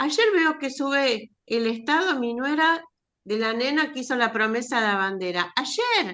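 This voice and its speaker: A woman with an Argentine accent uses a raised, projected voice that is high, bright and sharp, with lively intonation at a fairly slow pace. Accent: Rioplatense Argentine Spanish. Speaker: writing workshop participant. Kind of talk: casual chat.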